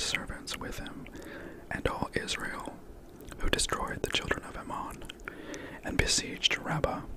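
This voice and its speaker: Whispered words come at a fairly slow pace, with noticeable background noise underneath. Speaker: ASMR storyteller. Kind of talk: bedtime Bible reading.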